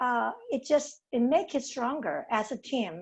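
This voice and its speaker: In a strong East Asian accent, a woman speaks at a fairly high pitch with lively intonation. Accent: heavy non-native accent, East Asian. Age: 60s. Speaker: golf professional. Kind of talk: panel discussion. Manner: halting with hesitations.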